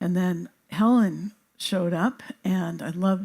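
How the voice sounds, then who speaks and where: A woman speaks at a medium pitch in a dark, mellow, somewhat breathy tone. The recording is very clean with a silent background. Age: 70s. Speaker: biophysicist and healer. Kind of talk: talk to audience.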